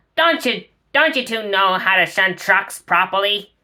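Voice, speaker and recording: A woman's gravelly, bellowing put-on character voice, medium in pitch, lively in intonation, at a moderate pace. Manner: bellowing, scolding.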